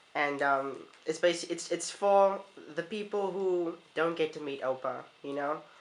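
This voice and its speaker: Pitched fairly high with ordinary pitch variation, the man's unremarkable speaking voice moves at a moderate pace. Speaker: interviewer, grandson. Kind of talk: interview questions.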